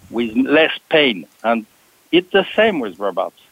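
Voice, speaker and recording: A man with a French accent speaks at a fairly slow pace, his pitch swinging very widely. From France, Paris. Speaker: automation software executive. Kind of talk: panel discussion. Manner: halting, hesitant.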